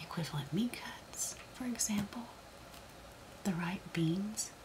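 A woman whispering at a very slow pace. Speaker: ASMR creator. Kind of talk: reading aloud from a book. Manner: soft-spoken, slow.

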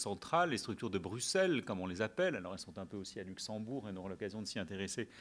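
A man at a very fast pace. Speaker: debate moderator. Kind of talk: lecture. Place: hall. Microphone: podium.

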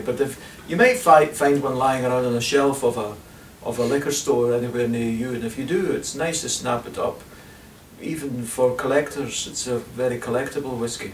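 Audible room echo over light background noise. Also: man, fairly even intonation, moderate pace. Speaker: whisky reviewer. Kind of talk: whisky review talk to camera. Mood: relaxed, enthusiastic. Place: home room. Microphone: camera far.

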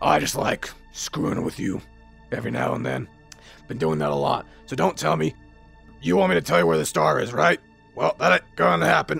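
Faint music plays behind a man whose very deep, low voice moves at a fairly quick pace. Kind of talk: casual tough-guy roleplay acting. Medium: machinima. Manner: cocky, sarcastic, tough.

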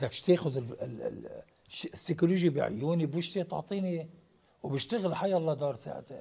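This man has a high pitch and a dark, mellow tone. He talks at a moderate pace with ordinary pitch variation. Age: 60s. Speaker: actor; actor, guest. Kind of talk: TV interview. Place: studio.

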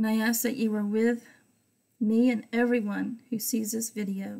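Against a quiet background, a woman speaks at a fairly high pitch in a dark, mellow, somewhat breathy tone. Her intonation is monotone and flat, and her pace fairly slow. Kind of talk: Bible study teaching with prayer. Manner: fervent; rambling. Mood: calm, devotional. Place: home room. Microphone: webcam.

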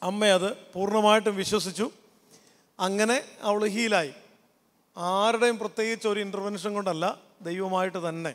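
This man's voice sits at a high pitch, and his intonation stays fairly even. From Kerala, Kottayam; Kerala, India. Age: 40s. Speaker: pastor and counsellor; pastor. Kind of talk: youth camp talk. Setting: stage with audience. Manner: interactive, conversational. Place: stage. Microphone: handheld.

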